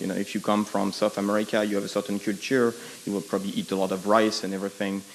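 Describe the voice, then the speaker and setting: A man speaks with a French accent. His pitch sits fairly low. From France. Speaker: audience member asking a question. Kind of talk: audience question at panel. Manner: halting, many fillers.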